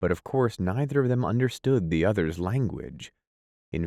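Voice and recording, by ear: Against a quiet background, someone's lively intonation carries as they read aloud in a natural voice.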